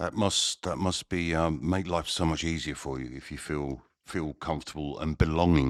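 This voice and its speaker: With an English accent, a man speaks at a very deep, low pitch and a moderate pace, using fairly even intonation and hardly any pauses in a very clean recording with a silent background. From England. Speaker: podcast host. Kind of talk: interview.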